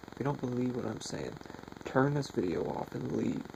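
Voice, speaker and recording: A man is speaking amid noticeable background noise. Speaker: conspiracy video maker. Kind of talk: unscripted monologue.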